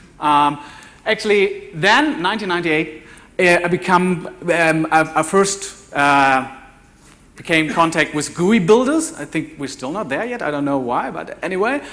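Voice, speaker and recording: Amid audible room echo, a man with a German accent talks at a moderate pace with a high pitch and lively intonation. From Germany. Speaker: developer evangelist, conference speaker. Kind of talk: conference talk. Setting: conference stage with audience. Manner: halting, many fillers and repeats.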